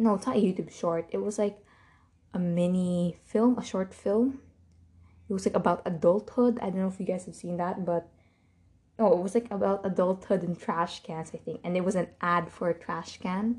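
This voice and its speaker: Speaking at a moderate pace, a woman has a medium-pitched, somewhat breathy voice with a dark, mellow tone and ordinary pitch variation. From Philippines. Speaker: podcast host. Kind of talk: casual solo monologue. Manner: animated.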